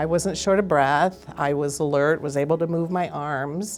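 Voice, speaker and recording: In a very deep, low pitch with vocal fry, a woman speaks at a fairly slow pace and with fairly even intonation. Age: 60s. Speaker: heart attack survivor. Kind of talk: testimony.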